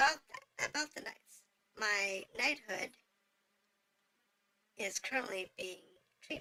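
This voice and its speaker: A woman puts on a raspy, high-pitched character voice with lively intonation and big swings in loudness, going at a fairly slow pace with long, frequent pauses. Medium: game stream. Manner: formal, deferential.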